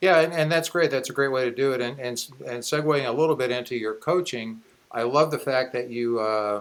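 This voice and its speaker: A man with an ordinary speaking voice talks at a moderate pace, using a medium pitch and ordinary pitch variation. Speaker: podcast host; business coach and speaker. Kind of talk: podcast interview, casual conversation.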